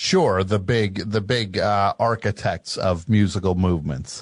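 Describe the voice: At a fairly slow pace, a man speaks at a low pitch with ordinary pitch variation.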